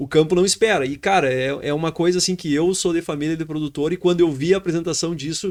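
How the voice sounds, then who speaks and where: A man with a normal speaking voice and fairly high pitch talks at a fairly quick pace. His intonation is fairly even, captured in a very clean recording with a silent background. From Brazil, Rio Grande do Sul. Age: 30s. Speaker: grain trading entrepreneur. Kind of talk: podcast interview.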